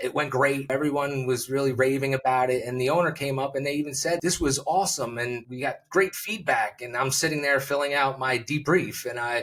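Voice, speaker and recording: A man's fairly high, fairly quick speech with an American accent, fairly even intonation and hardly any pauses. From New Jersey. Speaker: public speaking coach. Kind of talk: interview conversation. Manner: fast.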